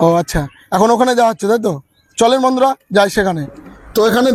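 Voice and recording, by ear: His voice is pitched high. It belongs to a man.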